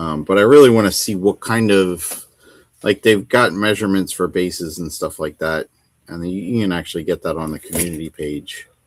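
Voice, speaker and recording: Very deep and low, a man's voice moves at a moderate pace with ordinary pitch variation. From United States. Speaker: wargaming channel host. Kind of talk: casual livestream chat while painting.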